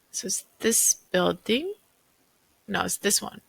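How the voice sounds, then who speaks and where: Mumbling at a fairly slow pace, a woman is heard in a dry, close sound with no echo. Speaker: real estate agent. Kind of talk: casual unscripted commentary. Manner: thinking aloud, mumbling to herself.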